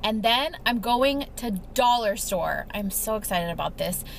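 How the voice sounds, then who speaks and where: An animated, fairly high-pitched woman's voice with ordinary pitch variation amid noticeable background noise. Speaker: lifestyle vlogger. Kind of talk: casual chat. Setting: in a car. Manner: chatty, animated.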